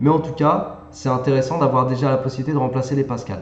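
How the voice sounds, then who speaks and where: Through audible room echo and noticeable background noise, a man at medium pitch speaks with fairly even intonation. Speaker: math and physics tutor. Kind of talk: tutorial. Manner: casual, conversational.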